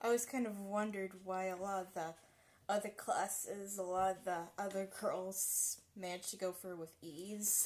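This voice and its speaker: A woman mumbles at a moderate pace. Her medium pitch stays in fairly even intonation. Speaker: live streamer. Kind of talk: casual chat. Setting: home kitchen. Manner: mumbling.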